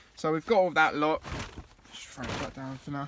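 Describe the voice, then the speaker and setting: Against noticeable background noise, a man with an English accent speaks fairly high with fairly even intonation. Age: 20s. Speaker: vlogger living in a van. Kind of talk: casual video vlog tour. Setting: inside his van.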